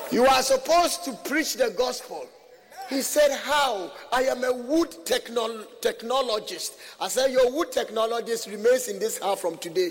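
An animated man with an extremely high pitch, lively intonation and a moderate pace, against noticeable background noise. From Ghana. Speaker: visiting preacher. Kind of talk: sermon. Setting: church with congregation.

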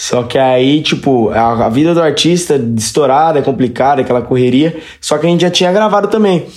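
With audible room echo and noticeable background noise, a man talks at a fairly quick pace, his fairly high pitch set to lively intonation and very even loudness. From Brazil, Registro, Vale do Ribeira (São Paulo state). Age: 20s. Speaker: sertanejo singer. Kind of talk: casual chat.

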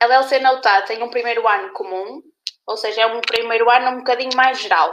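A woman with a bright, sharp tone and high pitch talks at a moderate pace. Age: 20s. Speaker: university student. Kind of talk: casual chat. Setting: live stream.

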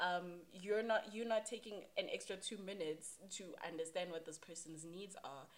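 With a plain, everyday voice, a woman talks at a moderate pace and medium pitch, her pitch varying in an ordinary way while her loudness swings widely. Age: 20s. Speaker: podcast guest. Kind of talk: casual chat.

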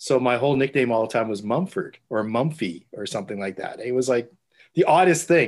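Over a quiet background, a man with a Canadian accent and a normal speaking voice talks at a moderate pace and medium pitch, his intonation lively. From Canada, Winnipeg. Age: 50s. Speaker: newspaper photographer. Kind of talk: casual interview.

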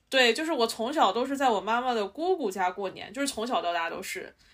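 A woman's unremarkable speaking voice, fairly high in pitch, at a moderate pace. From Shanxi. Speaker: podcast co-host. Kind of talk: casual chat.

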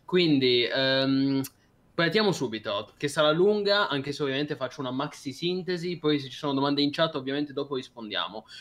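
Here a man speaks with fairly high pitch. His pace is fairly quick and his pitch variation ordinary. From Piedmont, Italy (Cuneo). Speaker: podcast co-host. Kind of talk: casual chat. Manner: animated.

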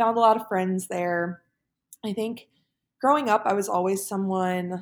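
A woman speaks in a normal speaking voice with an American accent. Her pitch is medium, her intonation fairly even, and the recording is very clean with a silent background. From US, Pennsylvania (Philadelphia suburbs). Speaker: engineer and former college athlete. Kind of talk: casual interview.

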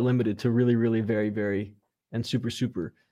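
A man with a Californian accent speaks at a very fast pace, his pitch medium and his tone dark and mellow. His intonation is fairly even, and the background is quiet. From US West Coast, Los Angeles area. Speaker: composer. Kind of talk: casual interview.

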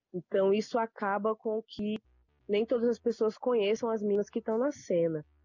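Speaking at a moderate pace, a woman has a dark, mellow tone in a dry, close sound with no echo. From Brasília, Brazil. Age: 30s. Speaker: rapper and university lecturer. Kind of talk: interview.

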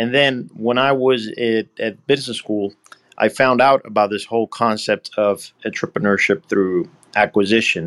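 A medium-pitched man with a Puerto Rican accent, ordinary pitch variation and a moderate pace, in a dry, close recording with no echo. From Puerto Rico. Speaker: acquisition entrepreneur. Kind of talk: interview.

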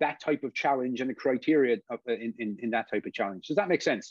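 In a Cork accent, a man speaks at a moderate pace with a dry, close sound, no echo and a quiet background. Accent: Cork Irish. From Ireland, Cork. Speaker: football referee. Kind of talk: interview. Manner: halting, many fillers.

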